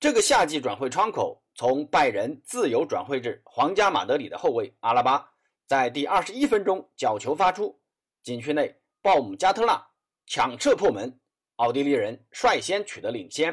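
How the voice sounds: The pitch swings widely at a moderate pace. A slightly husky edge runs through the voice. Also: man, medium pitch for a man.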